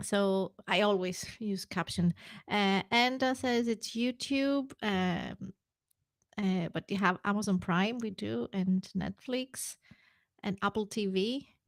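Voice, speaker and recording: A woman speaks at a very slow pace with ordinary pitch variation. The recording is very clean, with a silent background and a dry, close sound with no echo. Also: medium pitch for a woman. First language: not English. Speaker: podcast co-host. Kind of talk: casual chat. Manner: halting.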